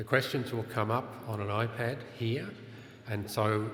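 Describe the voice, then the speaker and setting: Noticeable background noise and audible room echo fill the recording. A man speaks in a medium pitch. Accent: Australian. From Australia. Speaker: conference session chair. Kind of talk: conference panel introduction. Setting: conference room with audience.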